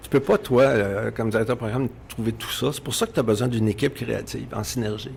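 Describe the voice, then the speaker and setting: A man speaks at a very fast pace with hardly any pauses, his medium-pitched voice showing vocal fry. His intonation stays fairly even. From Quebec. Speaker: radio executive. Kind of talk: interview.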